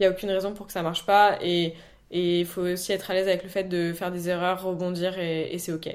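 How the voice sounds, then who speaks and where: A woman's medium-pitched voice, fairly quick, in a flat monotone. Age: 20s. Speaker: real estate entrepreneur. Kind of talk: interview.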